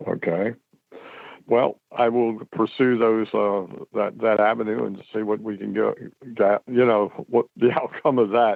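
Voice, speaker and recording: At a fairly slow pace, a man of medium pitch speaks with monotone, flat intonation. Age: 70s. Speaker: caller. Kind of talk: call-in question. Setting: phone call.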